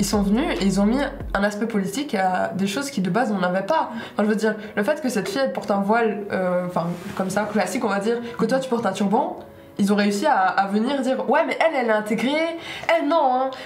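A woman with a fairly high voice speaks at a very fast pace with lively intonation, amid light background noise and audible room echo. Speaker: university student. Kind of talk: group discussion. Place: home room. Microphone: lapel.

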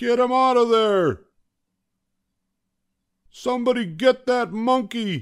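Shouting at a slow pace in a put-on character voice, a man sounds extremely high in pitch, with a clear, smooth tone, ordinary pitch variation and a very clean recording with a silent background.

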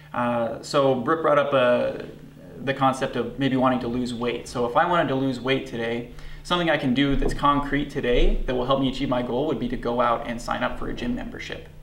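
Light background noise and audible room echo surround a man speaking at a fairly quick pace in a flat monotone. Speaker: guest. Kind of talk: interview answer. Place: studio.

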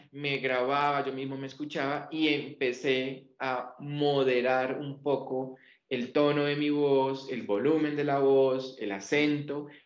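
A man's medium-pitched voice at a fairly slow pace, fairly even in intonation, with audible room echo.

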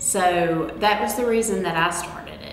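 A woman at a fairly slow pace with fairly even intonation, audible room echo and faint music in the background. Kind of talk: informational talk.

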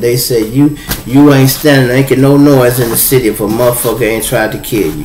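At a moderate pace, a man speaks with fairly even intonation against light background noise and audible room echo. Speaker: live stream host. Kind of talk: casual live stream storytelling. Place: home room. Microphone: phone near.

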